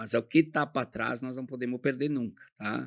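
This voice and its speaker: At a moderate pace, a man speaks with vocal fry in a dry, close sound with no echo. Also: very clean recording, silent background. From southern Brazil, Rio Grande do Sul. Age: 70s. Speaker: company founder. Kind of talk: interview.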